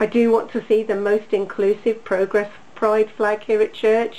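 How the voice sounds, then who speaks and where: Noticeable background noise runs under a woman of medium pitch who speaks at a moderate pace with an English accent. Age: 60s. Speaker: congregation member. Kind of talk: testimony. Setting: video call.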